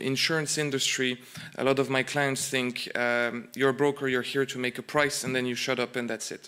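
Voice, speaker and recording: A man speaks in a French accent at a moderate pace. His intonation stays fairly even. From France. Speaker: insurance broker. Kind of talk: conference presentation. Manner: hesitant, many fillers and repeats.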